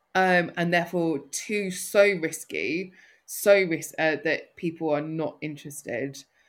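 A woman with a north London accent speaks at a fairly slow pace. Her pitch is fairly low and her intonation fairly even. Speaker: social enterprise founder and CEO. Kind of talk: casual interview conversation. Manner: hesitant, filler-heavy.

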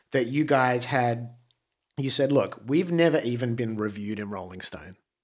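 Lively in intonation, a man speaks in an Australian accent at a moderate pace on a very clean recording with a silent background. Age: 40s. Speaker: musician. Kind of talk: casual chat. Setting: studio.

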